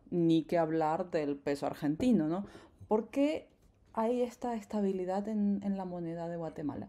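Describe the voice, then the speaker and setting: In a very clean recording with a silent background, a woman with a dark, mellow tone and medium pitch speaks fairly slowly with lively intonation. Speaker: podcast host. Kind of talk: podcast interview for Spanish learners.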